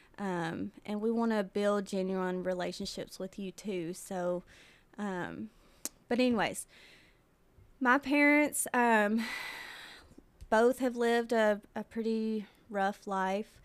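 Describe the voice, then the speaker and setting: The speech moves at a very slow pace, broken by long, frequent pauses. Its pitch varies in an ordinary way. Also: woman, medium pitch for a woman. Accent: Tennessee. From US South, Tennessee (Mount Pleasant). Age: 20s. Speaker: podcast host. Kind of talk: casual chat.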